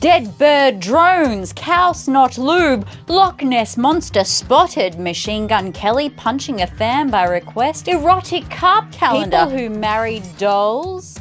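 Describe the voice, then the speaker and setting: A woman with an Australian accent speaks at a very slow pace, with hardly any pauses, a fairly high pitch and very wide pitch swings. Music plays in the background. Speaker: comedian. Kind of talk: satirical comedy news report.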